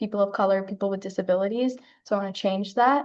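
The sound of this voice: With a slightly mellow tone and fairly even intonation, a woman speaks at a medium pitch.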